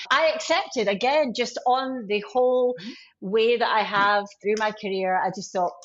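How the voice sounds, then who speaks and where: A woman with a Scottish accent and a fairly high pitch talks at a moderate pace. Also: ordinary pitch variation. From Scotland, Glasgow. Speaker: IT sales leader. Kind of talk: podcast interview.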